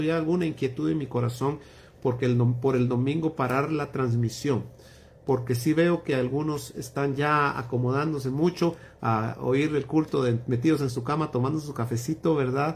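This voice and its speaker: The man's voice is fairly high and somewhat breathy. He speaks at a moderate pace with fairly even intonation. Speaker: pastor. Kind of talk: Bible study livestream closing remarks. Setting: livestream.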